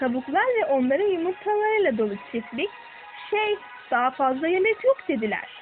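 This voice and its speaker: Music in the background behind a woman at a moderate pace, her pitch swinging very widely. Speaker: storyteller. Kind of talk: children's fairy tale narration.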